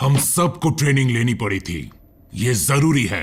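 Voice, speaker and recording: A man speaks in a put-on character voice at a moderate pace. His pitch sits in the medium range. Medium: fan dub.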